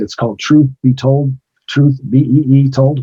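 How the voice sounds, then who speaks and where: Medium-pitched, somewhat breathy male speech with an American accent at a moderate pace. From US Midwest (Gary, Indiana). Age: 60s. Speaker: retired pro wrestler. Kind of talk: interview.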